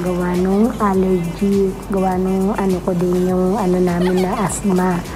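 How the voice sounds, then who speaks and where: A quiet woman at a moderate pace and medium pitch, fairly even in intonation, with music in the background and audible room echo. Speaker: vlogger. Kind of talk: casual vlog talk. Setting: hospital on duty, at night. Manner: quiet, subdued speaking.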